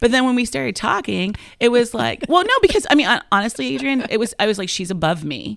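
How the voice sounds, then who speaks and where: At a very fast pace, a woman speaks with a fairly high pitch, very wide pitch swings and vocal fry. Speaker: comedian. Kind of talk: casual chat.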